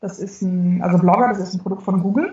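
Somewhat breathy, a woman talks at a medium pitch. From northern Germany. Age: 40s. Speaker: communications expert and genealogy blogger. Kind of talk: interview, casual chat.

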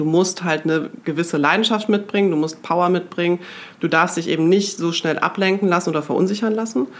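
An unremarkable speaking voice belongs to a woman with a fairly low pitch. She moves at a fairly quick pace with ordinary pitch variation. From Germany, Münster. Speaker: magazine executive. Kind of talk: casual interview.

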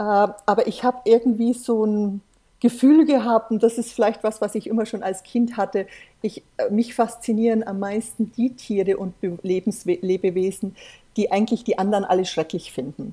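Somewhat breathy, this voice has a dark, mellow tone and a moderate pace. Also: woman, fairly high pitch for a woman, ordinary pitch variation. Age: 50s. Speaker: volunteer shark conservationist and pharmacist. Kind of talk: interview. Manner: animated.

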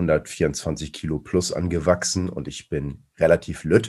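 A man speaks in a very deep, low pitch with vocal fry. His pitch variation is ordinary. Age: 40s. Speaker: strength athlete. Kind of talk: casual chat.

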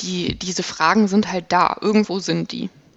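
A woman at a fairly slow pace. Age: 20s. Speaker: operating room technical assistant. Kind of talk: personal testimony in interview.

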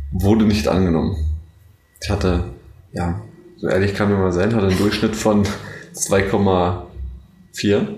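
A man's fairly low voice with ordinary pitch variation, a very slow pace, long, frequent pauses and audible room echo. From Brandenburg, Germany (Neuruppin). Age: 20s. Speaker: university student. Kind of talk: casual chat.

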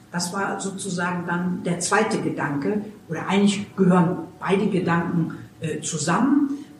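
Noticeable background noise and audible room echo accompany a woman talking at a fairly slow pace. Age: 60s. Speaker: climate activist volunteer. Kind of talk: interview. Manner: hesitant with frequent fillers.

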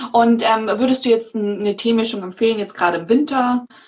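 A woman with a plain, everyday voice speaks at a fairly quick pace with ordinary pitch variation. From Munich, Bavaria. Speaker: podcast host. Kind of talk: livestream interview. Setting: video livestream.

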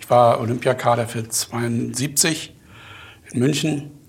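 A man's somewhat breathy voice at a medium pitch. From Mecklenburg, Germany. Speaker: company owner and chemist. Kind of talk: interview.

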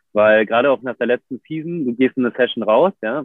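Speaking at a fairly quick pace, a man has a medium pitch and ordinary pitch variation. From Germany, Berlin. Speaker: professional big wave surfer. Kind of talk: casual interview. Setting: video livestream. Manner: hesitant, many fillers.

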